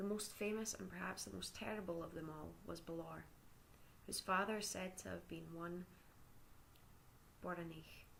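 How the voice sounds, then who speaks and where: A soft-spoken woman speaks in a calm tone with a Scottish accent. Her pace is moderate, and she takes long, frequent pauses. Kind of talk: ASMR story reading. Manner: calm, soft.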